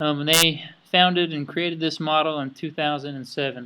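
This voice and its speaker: A fairly high-pitched man with an Idaho accent, bright and sharp in tone, at a moderate pace over a quiet background. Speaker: student. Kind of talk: class presentation.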